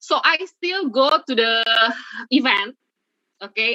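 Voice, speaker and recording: A woman speaks with an Indonesian accent and a bright, sharp tone. Her intonation is lively in a dry, close sound with no echo. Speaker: webinar speaker, blogger and content creator. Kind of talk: webinar presentation. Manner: halting.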